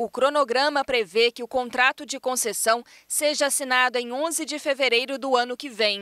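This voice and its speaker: A woman with a high pitch and a bright, sharp tone uses a raised, projected voice at a moderate pace, with fairly even intonation and hardly any pauses. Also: dry, close sound with no echo. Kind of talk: news reading. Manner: formal, steady and measured, with clear, even delivery; neutral, informative tone with few emotional shifts.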